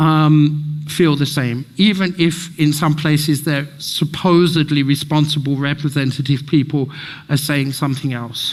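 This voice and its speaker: The speech moves at a fairly slow pace. Its intonation is monotone and flat. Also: man, fairly high pitch for a man. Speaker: speaker at community event. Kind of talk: public talk with slides. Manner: halting.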